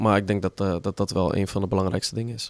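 A man speaks at a very fast pace. His pitch is very deep and low, with fairly even intonation. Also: very clean recording, silent background. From Netherlands, Utrecht. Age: 30s. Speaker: footballer. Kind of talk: interview.

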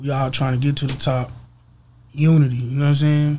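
Fairly quick and monotone, a man's fairly high, somewhat breathy voice carries a dark, mellow tone. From Texas, East Dallas; Texas. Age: 20s. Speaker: rapper; interview guest. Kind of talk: casual interview. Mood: relaxed, easygoing. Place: studio. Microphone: studio mic.

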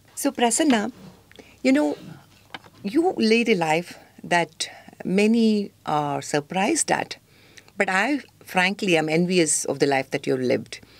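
At a fairly slow pace, the speaker swings very widely in pitch and takes long, frequent pauses. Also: woman. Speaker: talk show host. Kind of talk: talk show interview. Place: studio.

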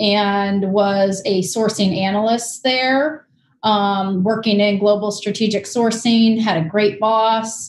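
A somewhat breathy woman at a very slow pace with fairly even intonation, audible room echo and light background noise. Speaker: guest. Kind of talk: interview answer. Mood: relaxed, friendly. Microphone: video call.

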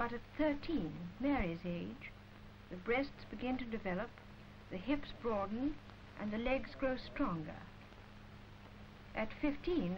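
Slow-paced and fairly high-pitched, a woman with an English accent swings her pitch very widely over light background noise. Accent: received pronunciation, posh. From England. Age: adult. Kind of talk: educational film narration. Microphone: old recording.

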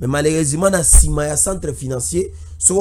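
The voice shows ordinary pitch variation and carries vocal fry. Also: man. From DR Congo, Equateur province (Budjala); Equateur province, DR Congo. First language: Lingala and local dialect (speaking French). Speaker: political commentator and party activist; political commentator. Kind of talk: political commentary. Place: studio. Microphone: studio mic.

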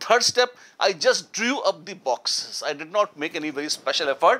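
Moving at a moderate pace, a man's voice has a bright, sharp tone and very wide pitch swings. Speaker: chemistry teacher. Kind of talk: lecture. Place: studio.

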